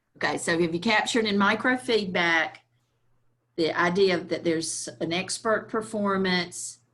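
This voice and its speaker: In a very clean recording with a silent background, a woman speaks with a Southern US accent. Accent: Southern US (Georgia). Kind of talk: workshop presentation. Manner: slow-paced.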